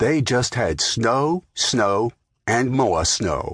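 The speaker is a man with a medium pitch and a somewhat breathy sound. His pitch swings very widely. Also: dry, close sound with no echo. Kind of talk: scripted audiobook narration of a children's tall tale.

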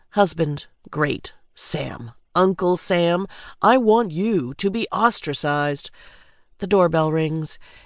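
This woman talks at a very slow pace, with long, frequent pauses. Her fairly low pitch moves in lively intonation. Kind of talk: audiobook narration. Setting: studio. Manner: measured, polished, wry delivery.

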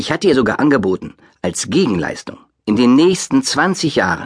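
This man's voice shows vocal fry. His pitch swings very widely. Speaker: audiobook narrator. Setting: studio.

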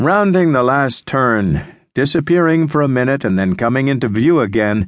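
A man speaks with a dramatic tone and lively intonation. His pitch sits in the medium range. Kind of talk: audiobook narration. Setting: studio. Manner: slow, measured, dramatic, hushed.

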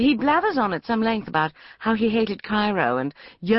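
The clip is plain reading aloud. Its intonation is lively.

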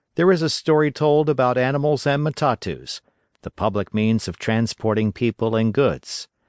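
A man's normal speaking voice at a moderate pace with lively intonation, dry and close with no echo, over a quiet background. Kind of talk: literary audiobook narration of a children's story. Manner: steady, storytelling cadence with clear, gentle expressiveness.

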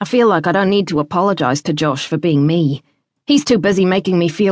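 Someone does plain reading aloud over a quiet background. Pitch moves in an ordinary way.

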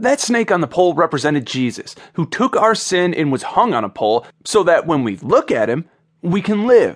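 A man speaks in a high pitch with very wide pitch swings. His tone is animated and warm, and his pace is moderate. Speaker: audiobook narrator. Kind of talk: audiobook narration of a devotional, with a personal anecdote. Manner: animated, storytelling tone that builds to a punchline; warm and sincere, turning reverent in the closing prayer.

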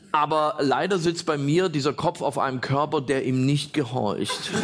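A man's playful, animated tone with ordinary pitch variation, against noticeable background noise. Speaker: stand-up comedian. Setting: stage with audience. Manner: animated, punchline-driven, pausing for laughs; self-deprecating, playful storyteller doing voices.

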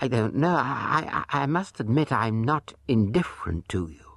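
Speaking at a fairly slow pace, a man with a fairly low pitch takes a dramatic tone full of very wide pitch swings, over noticeable background noise. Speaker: audiobook narrator. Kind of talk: dramatic narration of true crime, with acted-out dialogue. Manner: dramatic, sly and sardonic, shifting into mock-suave and coy voices for the dialogue.

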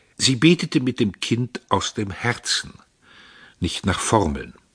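Against a quiet background, a man speaks at a fairly slow pace in a theatrical tone, the sound dry and close with no echo. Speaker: audiobook narrator. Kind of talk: audiobook narration, dramatic reading of a novel. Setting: studio. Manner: measured, theatrical, ironic and biting storytelling.

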